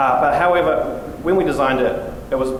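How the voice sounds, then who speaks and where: Over noticeable background noise and audible room echo, a man with a New Zealand accent speaks with ordinary pitch variation. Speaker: software engineer presenting at a conference. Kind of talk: conference talk. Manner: fast.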